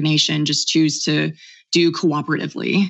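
In an American accent, a woman with a fairly low voice speaks at a moderate pace with monotone, flat intonation. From Oklahoma. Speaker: author and libertarian activist. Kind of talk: interview.

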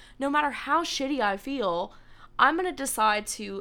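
A woman's bright, sharp voice with lively intonation at a moderate pace, on a very clean recording with a silent background. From Louisiana, Cajun, Lafayette. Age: 20s. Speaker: podcast co-host. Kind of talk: casual chat.

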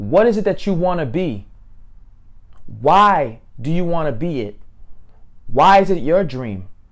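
In a room with audible echo, a man with a fairly high pitch sounds animated, his pitch swinging very wide as he talks at a fairly slow pace with long, frequent pauses. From grew up in a housing project area. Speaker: motivational speaker. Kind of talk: motivational monologue.

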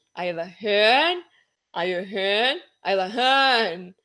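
A woman's voice in a very clean recording against a silent background. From Brazil. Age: 30s. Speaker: travel blogger. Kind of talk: casual chat.

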